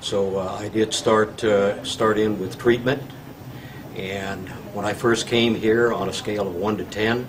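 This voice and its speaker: The speech comes at a fairly slow pace in a flat monotone, with audible room echo and noticeable background noise. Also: man. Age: 60s. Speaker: patient. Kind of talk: testimony. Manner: halting, many filler words.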